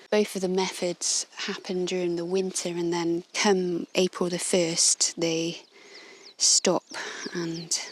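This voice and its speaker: At a very slow pace, the speaker uses an English accent, a gentle, calm tone and monotone, flat intonation. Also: woman. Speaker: illustrator and podcaster. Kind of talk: walking nature narration. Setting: outdoors on a coastal walk.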